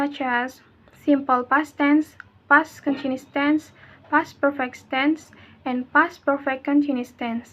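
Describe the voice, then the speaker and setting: A woman speaks with an American accent at a high pitch. Her delivery is very slow and monotone, with flat intonation. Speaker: english education student. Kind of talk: class presentation. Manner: halting.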